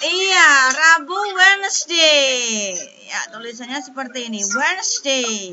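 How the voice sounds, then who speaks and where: A woman speaks at a high pitch and a very slow pace, her voice swinging very widely in pitch. Noticeable background noise runs underneath. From Indonesia. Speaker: primary school teacher. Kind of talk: online class lesson. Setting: video call. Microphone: video call.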